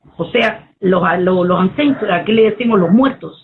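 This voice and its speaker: A woman with a Cuban accent speaks at a moderate pace in a medium-pitched voice with ordinary pitch variation. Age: 60s. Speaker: poet and Afro-Cuban priestess. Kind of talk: interview conversation.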